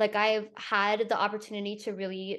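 A woman speaks at a moderate pace in an American accent, with a fairly high pitch and an unremarkable speaking voice. The background is quiet. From Florida, Tampa. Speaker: actor. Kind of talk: interview.

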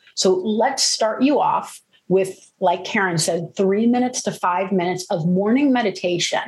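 A woman speaks at a moderate pace and medium pitch, somewhat breathy, with ordinary pitch variation. Her loudness stays very even, and she hardly pauses. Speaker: yoga and meditation teacher. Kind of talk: interview conversation. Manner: animated, active-minded.

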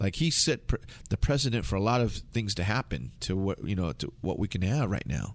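With an American accent and vocal fry, a man talks at a fairly quick pace with fairly low pitch and very wide pitch swings. The recording is very clean, the background silent. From Southern California, Filipino American. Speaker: hip-hop DJ. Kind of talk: interview.

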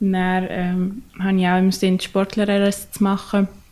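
A woman speaks at a very slow pace and medium pitch, with a dark, mellow tone and monotone, flat intonation. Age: young. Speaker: ice hockey player. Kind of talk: casual interview.

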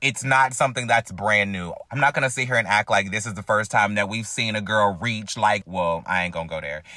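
A man talks at a fairly quick pace with hardly any pauses, fairly low in pitch with ordinary pitch variation. His tone is bright, sharp and animated. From US South, North Carolina. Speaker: podcast host. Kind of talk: casual chat.

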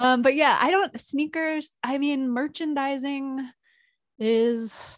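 Speaking very slowly, a woman uses a high pitch with ordinary pitch variation. She has an American accent. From US Northeast, Providence, Rhode Island. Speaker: comedian and video artist. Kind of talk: casual chat.

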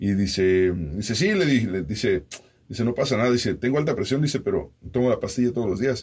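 A man talks at a very fast pace with lively intonation. His voice is somewhat breathy and his loudness stays very even. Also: medium pitch for a man. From Mexico. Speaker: radio host and podcaster. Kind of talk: casual chat.

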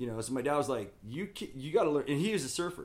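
A man with a West Coast American accent, medium pitch and a very fast pace. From Southern California and Oregon. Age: 50s. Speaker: skateboard company owner and skater. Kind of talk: casual chat.

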